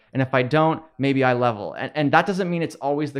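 This man has a plain, everyday voice, fairly high in pitch, with ordinary pitch variation and a fairly quick pace. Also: quiet background. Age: 20s. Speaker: video game content creator and commentator. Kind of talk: casual interview.

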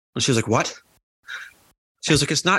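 Captured in a very clean recording against a silent background, a man talks with an American accent. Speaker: podcast co-host. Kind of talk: casual chat.

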